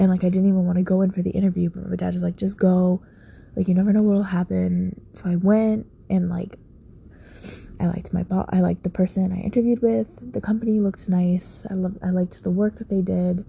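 A woman mumbles at a very fast pace, somewhat breathy with a dark, mellow tone. Her pitch is medium and her intonation fairly even. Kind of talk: late-night personal monologue. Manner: mumbling; frequent sighs.

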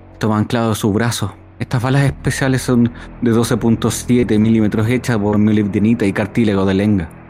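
With music in the background, a man speaks at a moderate pace in a fairly low pitch, his loudness very even and his intonation fairly even. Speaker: player voicing a ship doctor character. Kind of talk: role-playing in character, descriptive narration. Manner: formal, wordy, theatrical, with hesitations.

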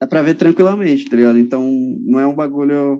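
This man has a fairly high pitch and a dark, mellow tone, speaking at a fairly quick pace with ordinary pitch variation. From São Paulo city, Brazil. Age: 20s. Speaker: calisthenics athlete. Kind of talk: casual chat.

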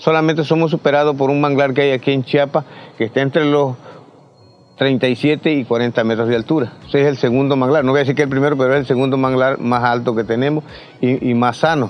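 Fairly quick speech with very even loudness and fairly even intonation. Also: man, medium pitch for a man. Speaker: ejido leader. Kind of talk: interview. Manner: halting.

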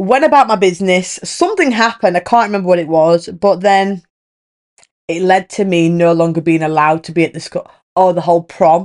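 In a British accent, the speaker talks at a fairly quick pace with an animated tone. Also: woman, medium pitch for a woman, ordinary pitch variation. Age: 20s. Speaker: podcast host. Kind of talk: casual monologue.

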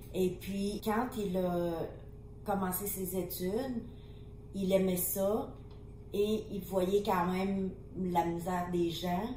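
A woman with a Vietnamese accent speaks in a monotone, flat intonation with long, frequent pauses. Audible room echo surrounds her voice. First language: Vietnamese (speaking French). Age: 50s. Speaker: refugee mother of hosts. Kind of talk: personal testimony.

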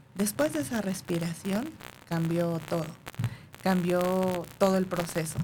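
A woman with a fairly low pitch speaks at a fairly slow pace with long, frequent pauses. Noticeable background noise runs underneath. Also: ordinary pitch variation. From northern Mexico (Monterrey / Durango). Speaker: hypnotherapist. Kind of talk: interview.

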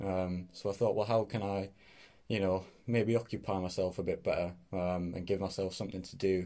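On a very clean recording with a silent background, a man with a Teesside accent speaks in a dark, mellow tone at a very deep, low pitch. His intonation is monotone and flat, at a moderate pace. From northeast England, Middlesbrough. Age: 20s. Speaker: podcast host. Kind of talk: casual solo podcast talk. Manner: hesitant, many fillers.

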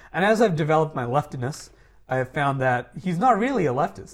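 Very wide pitch swings mark this man's fairly high voice. He talks at a very fast pace. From Dubai. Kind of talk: casual political discussion.

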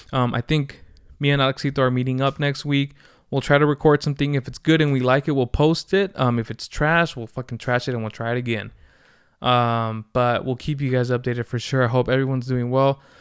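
On a very clean recording with a silent background and a dry, close sound with no echo, a man with an unremarkable speaking voice talks fairly quickly at a medium pitch with fairly even intonation. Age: 20s. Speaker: podcast host. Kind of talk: casual solo monologue. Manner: casual, laid-back.

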